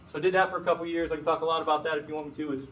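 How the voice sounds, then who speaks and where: A man with an American accent talks in a monotone, flat intonation amid audible room echo. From Chicago. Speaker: FBI agent. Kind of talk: guest lecture. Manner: fast; casual.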